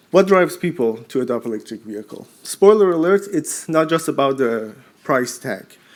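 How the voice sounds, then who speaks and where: A man with a Persian accent speaks at a fairly high pitch, with very wide pitch swings. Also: moderate pace. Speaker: postdoctoral researcher. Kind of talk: short conference pitch.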